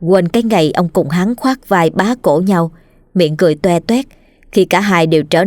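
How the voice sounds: The clip features a natural reading voice.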